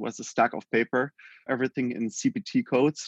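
Against a quiet background, a man with a German accent speaks at a medium pitch and a fairly quick pace in a dry, close sound with no echo. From Germany. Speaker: healthcare tech company founder. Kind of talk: interview.

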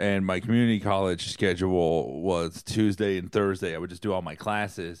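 With an American accent and a very deep, low pitch, a man talks at a moderate pace with fairly even intonation and hardly any pauses, recorded very cleanly against a silent background. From South Florida. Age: 30s. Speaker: comedian. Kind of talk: casual chat.

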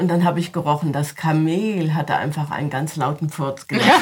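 A woman speaks with a very deep, low pitch and a somewhat breathy sound. Her intonation stays fairly even. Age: 70s. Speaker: storyteller. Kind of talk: interview; storytelling. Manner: engaging.

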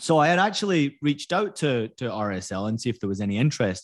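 The voice carries a Scottish accent at a fairly quick pace. There is a quiet background. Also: man. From Scotland. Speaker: former footballer and soccer broadcaster. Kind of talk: interview. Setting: video call.

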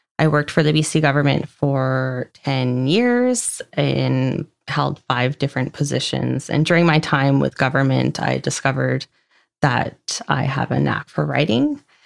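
The speech comes at a fairly slow pace, its loudness very even. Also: woman. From Vancouver Island, British Columbia, Canada. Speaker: military spouse, communications director. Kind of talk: casual interview.

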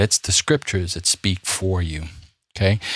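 A man with a New York accent talks in an animated, somewhat breathy way at a fairly low pitch. The recording is very clean, with a silent background. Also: dry, close sound with no echo. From US Northeast, Brooklyn, New York City. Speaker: podcast host, Bible teacher. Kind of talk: religious discussion podcast; scripted outro. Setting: studio.

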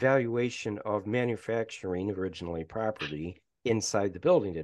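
A man's normal speaking voice at a fairly quick pace, with ordinary pitch variation, against a quiet background. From Michigan. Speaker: professor. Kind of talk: casual chat.

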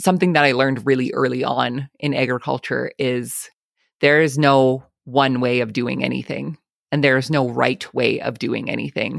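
With an Albertan accent, a woman speaks in a very deep, low pitch with vocal fry, fairly even intonation, and a moderate pace, in a dry, close sound with no echo. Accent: Canadian (Albertan). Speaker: farmer and podcast host. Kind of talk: casual interview.

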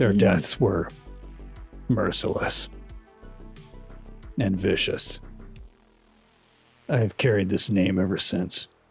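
A man's put-on character voice, fairly low in pitch, at a very slow pace with long, frequent pauses and faint music in the background. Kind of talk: measured formal speech. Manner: formal, solemn, humble.

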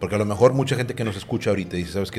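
With music playing in the background, a man with a Mexican accent speaks at a fairly low pitch. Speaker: podcast host. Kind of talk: casual interview.

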